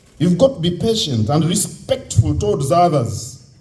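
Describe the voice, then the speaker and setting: A man with a Ugandan accent speaks at a moderate pace with very wide pitch swings, and audible room echo surrounds him. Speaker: convention speaker. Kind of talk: speech to youth audience.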